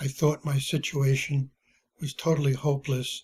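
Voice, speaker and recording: A man talks at a fairly slow pace in a fairly high, somewhat breathy voice with monotone, flat intonation. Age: 80s+. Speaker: retired journalist and publisher. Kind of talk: personal testimony. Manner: halting, with many fillers.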